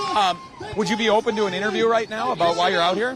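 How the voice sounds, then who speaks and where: A man shouts loudly at a high pitch and a fairly quick pace, with audible room echo and crowd noise in the background. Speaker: street interviewer / live streamer. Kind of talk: live street interview. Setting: outdoors at a protest. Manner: loud, shouting.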